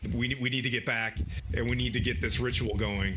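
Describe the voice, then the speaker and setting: Putting on a raspy character voice, a man talks at a fairly quick pace. Clear background noise is present. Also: medium pitch for a man. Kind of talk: archaic formal speech. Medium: actual play.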